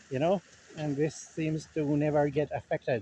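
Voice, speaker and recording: A man's fairly high, somewhat breathy voice with a dark, mellow tone, monotone, flat intonation, and a Levantine accent. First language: Levantine Arabic. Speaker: linguistics vlogger. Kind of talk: casual vlog monologue. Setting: outdoors, walking. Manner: halting, many fillers.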